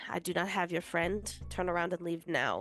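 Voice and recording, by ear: Someone puts on a character voice at middle pitch, full of hissing. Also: moderate pace.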